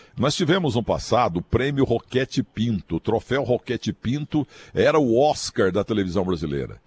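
The sound is dry and close, with no echo. A man at a medium pitch uses vocal fry and very wide pitch swings. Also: moderate pace. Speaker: sports commentator. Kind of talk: casual chat.

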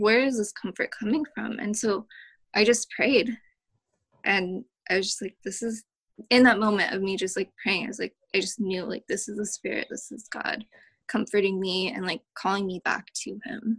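A woman speaks at a moderate pace with a fairly high pitch and fairly even intonation. The sound is dry and close, with no echo. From US West Coast, Oakland (Bay Area). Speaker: churchgoer sharing her story. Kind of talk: testimony. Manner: casual with many fillers.

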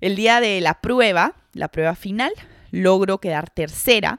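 With a plain, everyday voice at medium pitch, a woman speaks fairly slowly on a very clean recording with a silent background and a dry, close sound with no echo. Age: 20s. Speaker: podcast host, psychologist and sports mentor. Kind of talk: solo podcast monologue.

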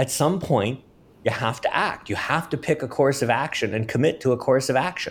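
Speaking at a moderate pace with ordinary pitch variation, a fairly high-pitched man is heard on a very clean recording with a silent background. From Washington, D.C. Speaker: researcher. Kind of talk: interview. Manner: halting.

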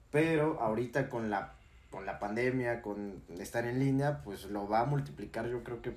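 A man's somewhat breathy, medium-pitched voice, fairly slow in pace, with lively intonation. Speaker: university student podcast co-host. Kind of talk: casual chat.

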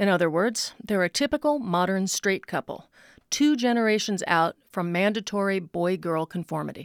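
With an ordinary speaking voice, a woman at medium pitch talks at a moderate pace with lively intonation, in a dry, close sound with no echo and on a very clean recording with a silent background. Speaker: commentator. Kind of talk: personal essay read aloud.

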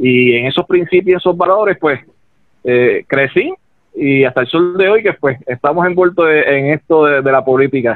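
In a Puerto Rican accent, a man speaks at a moderate pace with a fairly high pitch. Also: ordinary pitch variation. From Ponce, Puerto Rico. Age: 30s. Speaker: political candidate. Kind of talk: political interview. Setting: phone call. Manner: hesitant, repeats words.

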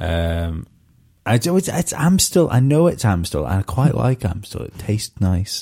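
In a very clean recording with a silent background, a man speaks at a moderate pace with a dark, mellow tone. His pitch is fairly low and makes very wide swings. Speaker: podcast host and stand-up comedian. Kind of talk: casual chat.

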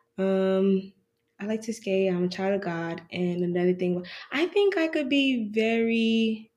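Quiet and at a fairly slow pace, a woman speaks at a medium pitch with ordinary pitch variation. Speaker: university student. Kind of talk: casual chat.

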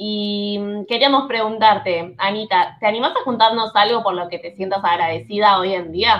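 Speaking in a Rioplatense accent at a moderate pace, a woman uses medium pitch with ordinary pitch variation and big swings in loudness. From Buenos Aires, Argentina. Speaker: podcast host, translator. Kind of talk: interview.

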